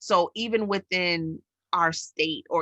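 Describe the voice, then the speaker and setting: Speaking with a New York accent, a woman has a fairly low, bright, sharp voice and fairly even intonation, recorded with a dry, close sound and no echo. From New York City. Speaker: educator and podcast co-host. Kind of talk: casual chat.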